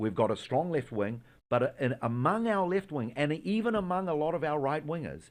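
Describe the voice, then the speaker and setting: A man with a New Zealand accent speaks at a moderate pace in a fairly high pitch, with very wide pitch swings. The background is quiet. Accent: New Zealand accent, still noticeable. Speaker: Israeli tour guide, Messianic believer. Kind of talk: religious interview discussion. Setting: studio in America.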